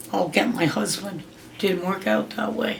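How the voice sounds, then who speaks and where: Noticeable background noise sits behind a voice with an American accent moving at a fairly slow pace. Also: woman. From Pennsylvania. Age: 80s+. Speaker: grandmother interviewee. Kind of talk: family interview.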